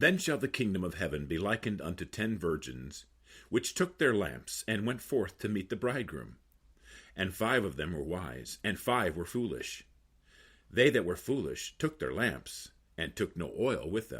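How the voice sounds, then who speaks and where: Using vocal fry, a man speaks at a fairly low pitch with very wide pitch swings on a very clean recording with a silent background. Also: moderate pace. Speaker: voice actor. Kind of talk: scripture reading, audiobook-style narration.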